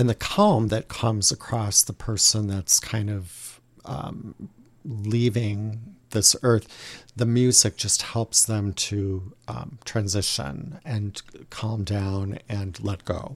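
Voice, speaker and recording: A man's somewhat breathy, fairly low voice at a very slow pace, ordinary pitch variation, very clean recording with a silent background. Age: 50s. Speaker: liturgical music director. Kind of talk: casual interview.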